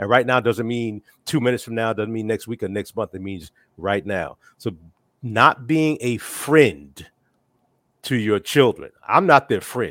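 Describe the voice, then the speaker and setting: A man with a plain, everyday voice speaks at a medium pitch and a fairly slow pace, with ordinary pitch variation and big swings in loudness. The recording is very clean with a silent background and has a dry, close sound with no echo. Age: 60s. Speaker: father of four discussing parenting. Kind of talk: casual chat.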